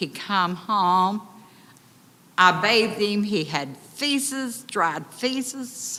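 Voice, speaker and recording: A woman with an Appalachian accent speaks in a bright, sharp tone with lively intonation. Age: 70s. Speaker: resident speaking at public comment. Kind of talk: public comment at county meeting. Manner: emotional.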